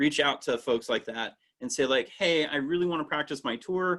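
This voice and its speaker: A man is speaking. He keeps a moderate pace. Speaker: interpretive training instructor. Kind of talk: online training lecture. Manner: loud.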